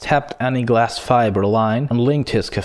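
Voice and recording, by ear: Someone is reading aloud in a natural voice.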